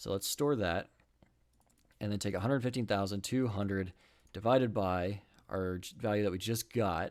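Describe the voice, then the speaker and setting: A man with a fairly low pitch speaks at a moderate pace with ordinary pitch variation. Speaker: electronics hobbyist streamer. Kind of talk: live coding stream. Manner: halting, many pauses and uhs.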